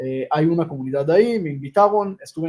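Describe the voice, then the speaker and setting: A man speaks very fast in a high voice. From Israel, Jerusalem. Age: 30s. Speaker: rabbi and humanitarian organization founder. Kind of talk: interview.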